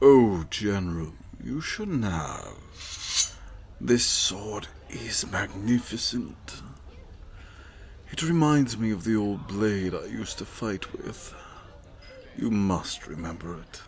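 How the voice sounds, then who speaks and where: A man's put-on character voice, fairly low in pitch, fairly slow, with long, frequent pauses and clear background noise. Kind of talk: ASMR seductive roleplay. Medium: solo performance. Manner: smooth, measured, aristocratic.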